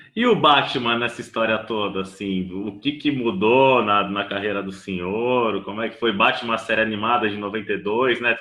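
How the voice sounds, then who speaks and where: Noticeable background noise surrounds a man speaking at a moderate pace. His pitch is medium, with ordinary variation. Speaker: film critic and interviewer. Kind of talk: interview questions.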